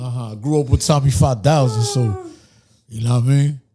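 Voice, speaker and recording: This man has a normal speaking voice, medium in pitch, with fairly even intonation. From New York City, Dominican-American (Dyckman/Uptown). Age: 30s. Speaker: rapper. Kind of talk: casual interview chat.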